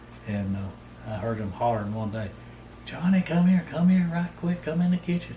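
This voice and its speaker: A man in a Southern US accent, lively in intonation, at a moderate pace, with noticeable background noise and audible room echo. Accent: Southern US rural. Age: 70s. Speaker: storyteller. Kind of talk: casual storytelling. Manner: halting.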